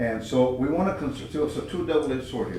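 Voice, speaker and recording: With an American accent, a man talks at a fairly quick pace and medium pitch with ordinary pitch variation, amid audible room echo and noticeable background noise. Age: 70s. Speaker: committee member. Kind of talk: committee meeting discussion. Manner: animated.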